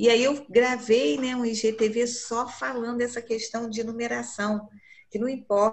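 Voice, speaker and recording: Speaking in an unremarkable speaking voice, a woman keeps a fairly slow pace, a fairly high pitch and fairly even intonation. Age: 60s. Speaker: image consultant. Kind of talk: group class discussion.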